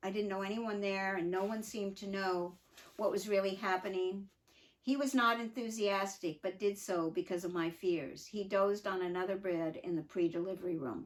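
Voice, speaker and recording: Medium-pitched woman's voice at a moderate pace, with fairly even intonation. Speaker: mother telling her life story. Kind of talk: reading aloud from her own memoir with asides; casual aside. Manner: halting.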